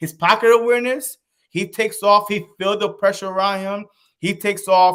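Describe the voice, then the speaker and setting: With a Haitian accent, a man speaks at a moderate pace in a high, animated voice. The recording is very clean, the background silent. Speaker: sports YouTuber. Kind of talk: casual chat. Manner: slurred words.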